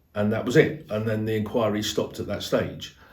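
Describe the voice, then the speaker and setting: There is audible room echo around a man as he talks. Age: 60s. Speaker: car dealer. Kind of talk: testimony. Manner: hesitant, with fillers.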